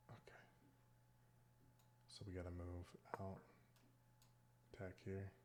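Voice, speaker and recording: Long, frequent pauses break up a man's monotone, flat delivery in a very deep, low voice. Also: fairly slow pace. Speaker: chess streamer. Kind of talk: casual gameplay commentary. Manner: thinking aloud, halting.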